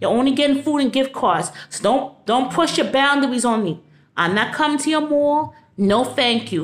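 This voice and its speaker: A woman speaks at a fairly quick pace in a New York accent. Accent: New York City. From New York City (Brooklyn); New York City. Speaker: vlogger. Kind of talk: rant to camera. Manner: animated. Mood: angry, indignant. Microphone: phone near.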